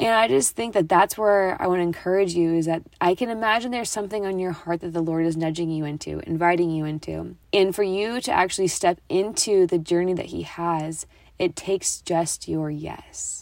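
A woman's fairly low voice with ordinary pitch variation and hardly any pauses. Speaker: ministry leader and podcast host. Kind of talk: solo reflective talk. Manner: fast.

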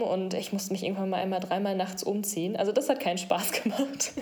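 Noticeable background noise and audible room echo surround a woman speaking at medium pitch. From Sauerland, western Germany. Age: 20s. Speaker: breast cancer patient. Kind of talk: interview.

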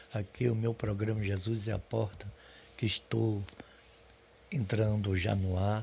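Somewhat breathy and dark, mellow in tone, a man's fairly low voice stays in monotone, flat intonation. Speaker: preacher. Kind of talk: sermon-like devotional address to podcast listeners. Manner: warm, encouraging, pastoral; earnest, reassuring, reading scripture aloud.

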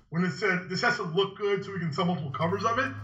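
With audible room echo, a man raises and projects his voice, high in pitch with a bright, sharp tone. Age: 20s. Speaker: podcast co-host. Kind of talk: casual chat.

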